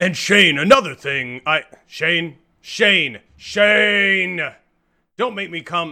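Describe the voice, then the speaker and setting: A man speaks in a gruff, high-pitched put-on character voice with lively intonation, at a very slow pace broken by long, frequent pauses. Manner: threatening.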